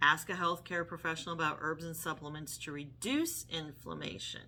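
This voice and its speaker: Her voice has a bright, sharp tone, and this woman pitches it fairly low. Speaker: health vlogger. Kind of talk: casual talk to camera. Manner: halting, with fillers.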